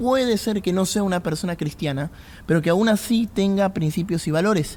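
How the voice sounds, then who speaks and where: A man speaks at a moderate pace with an Argentine accent. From Argentina. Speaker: pastor. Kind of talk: podcast talk on faith and politics.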